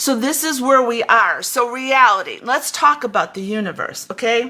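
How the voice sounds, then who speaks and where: Over noticeable background noise, a woman with a high voice speaks at a moderate pace in an animated tone with ordinary pitch variation. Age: 70s. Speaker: spiritual teacher. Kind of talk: spiritual talk. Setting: livestream on Facebook and YouTube. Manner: halting.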